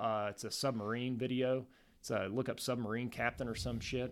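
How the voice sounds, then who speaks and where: A man with an American accent speaks in an unremarkable speaking voice at medium pitch, with fairly even intonation and a moderate pace, on a very clean recording with a silent background. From Southern Ohio, US. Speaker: army instructor. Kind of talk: interview.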